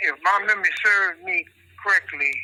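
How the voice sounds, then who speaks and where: A man is speaking at a moderate pace. Noticeable background noise can be heard. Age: 70s. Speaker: prison inmate. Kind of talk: reading aloud. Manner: halting.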